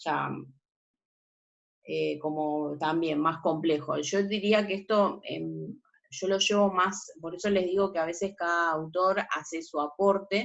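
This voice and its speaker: A woman with a fairly low voice talks very slowly, her intonation fairly even. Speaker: teacher. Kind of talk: lecture.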